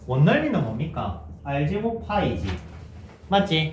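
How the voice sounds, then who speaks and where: With audible room echo, a man speaks very slowly. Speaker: math teacher. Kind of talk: lecture. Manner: conversational, checking questions.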